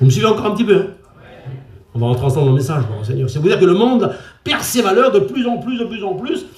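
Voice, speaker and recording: Swinging very widely in pitch, a man speaks in a high voice against audible room echo. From France, Traveller (Gitan) community. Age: 60s. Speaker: preacher. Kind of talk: sermon.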